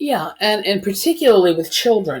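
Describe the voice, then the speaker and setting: Speaking at a fairly slow pace, a woman uses a plain, everyday voice with ordinary pitch variation in a very clean recording with a silent background. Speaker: hugging advocate. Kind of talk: podcast interview.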